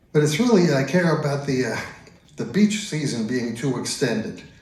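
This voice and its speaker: A man talks at a moderate pace in a fairly high pitch with lively intonation. Audible room echo and noticeable background noise surround him. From US Northeast, Long Island, New York. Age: 70s. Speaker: stand-up comedian. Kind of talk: stand-up. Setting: stage with audience.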